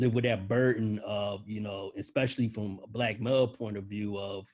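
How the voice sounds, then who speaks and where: Fairly low-pitched, a man speaks at a moderate pace with fairly even intonation. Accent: American. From Philadelphia, US. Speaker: newspaper journalist. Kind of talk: panel discussion. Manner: casual, halting with fillers.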